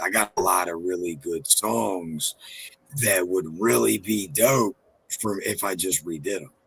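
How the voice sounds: A man's low voice at a fairly slow pace, with vocal fry and a husky, rough edge. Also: ordinary pitch variation, fairly bright tone.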